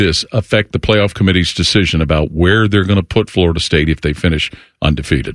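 A man at a fairly quick pace with hardly any pauses, very even loudness, and a dry, close sound with no echo. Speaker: play-by-play broadcaster and analyst. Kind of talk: sports commentary. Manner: fluent, conversational, analytical.

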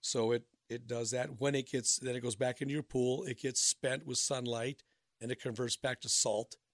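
An unremarkable speaking voice belongs to a medium-pitched man with an American accent, talking at a moderate pace with fairly even intonation. The sound is dry and close, with no echo. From Minnesota. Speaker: pool business owner. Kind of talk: radio interview.

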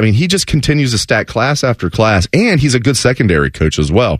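Speaking at a fairly quick pace, a man with an American accent uses a medium pitch and vocal fry. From Southwest Ohio, Dayton area. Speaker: sports radio fill-in host. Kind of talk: sports talk radio.

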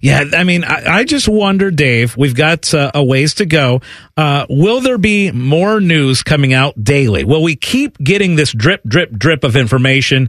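At a fairly slow pace but with hardly any pauses, a man with a fairly high voice speaks with lively intonation and very even loudness, the sound dry and close with no echo. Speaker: sports betting radio host. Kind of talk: casual sports radio chat. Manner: conversational, enthusiastic.

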